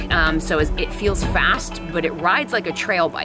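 A woman speaks over clear music in the background. The sound is dry, with no echo. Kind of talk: casual bike check talk. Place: forest.

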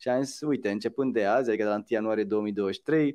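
With a quiet background, the man's voice shows ordinary pitch variation. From Romania. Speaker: musician and social entrepreneur; interview guest. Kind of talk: interview. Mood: cheerful, animated. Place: home room. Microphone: video call.

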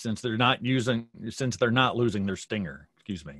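This is a man speaking with an American accent. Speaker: beekeeping association director. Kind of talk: announcement. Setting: video call.

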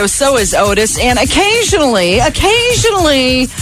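Over clear music in the background, a woman speaks at a fairly slow pace with very wide pitch swings. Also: dry sound with no echo. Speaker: radio DJ. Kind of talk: radio DJ air check. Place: studio. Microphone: studio mic.

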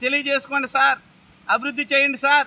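A man uses a raised, projected voice at an extremely high pitch. Noticeable background noise is present. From Konaseema, Andhra Pradesh; Andhra Pradesh. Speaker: local party activist. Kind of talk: on-location political protest statement. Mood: critical, satirical complaint. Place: open country.

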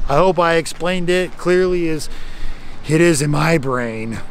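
At a fairly slow pace, a man talks with a fairly high pitch and ordinary pitch variation.

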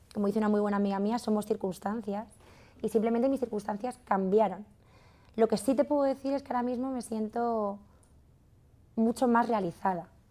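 A woman with a fairly high pitch and a dark, mellow tone speaks at a fairly quick pace. Her intonation is fairly even, broken by long, frequent pauses. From Madrid, Spain; Spain. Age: 30s. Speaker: fashion entrepreneur; masterclass teacher. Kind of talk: masterclass talk. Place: studio.

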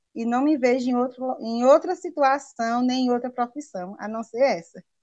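Against a quiet background, a woman talks at a moderate pace in a high voice with ordinary pitch variation. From Paraíba, Brazil (Princesa Isabel, rural); Paraíba, Brazil. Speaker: primary school teacher. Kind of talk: interview. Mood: warm, passionate, smiling. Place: home room. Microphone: video call.

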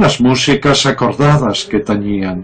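Noticeable background noise accompanies a man at a medium pitch. He speaks very slowly with lively intonation. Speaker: poetry reciter. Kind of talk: poetry reading.

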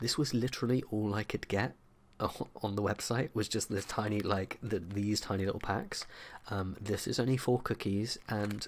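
An unremarkable speaking voice at a fairly quick pace, with fairly even intonation. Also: man. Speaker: vlogger. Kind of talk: casual vlog chat. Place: home room. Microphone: studio mic.

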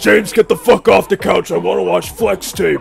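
A man does a put-on character voice at a moderate pace. Background noise is clearly heard. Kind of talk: comic overacting. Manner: blunt, contemptuous.

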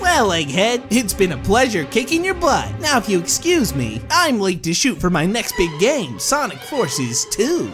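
Over clear background music, a put-on character voice with fairly high pitch moves at a moderate pace. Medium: comedy sketch. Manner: cocky, teasing.

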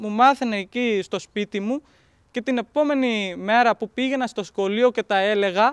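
Extremely high pitch from a man, ordinary pitch variation, dry sound with no echo and a quiet background. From Pakistan. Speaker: interpreter and student. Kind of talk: documentary interview. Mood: calm, grateful, reflective. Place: open country.

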